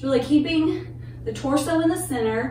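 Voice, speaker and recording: A woman is speaking with audible room echo. Light background noise runs underneath. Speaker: fitness instructor. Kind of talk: workout class instruction. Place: home room. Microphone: camera far.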